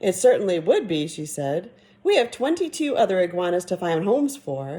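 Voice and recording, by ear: The voice is natural. It is reading aloud.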